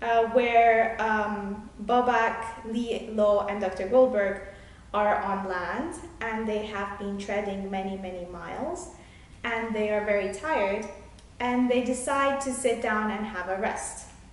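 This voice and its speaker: Noticeable background noise sits behind a woman speaking at a very slow pace. Her fairly high pitch shows ordinary pitch variation. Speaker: children's book author. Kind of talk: casual author introduction to camera, talking about her book.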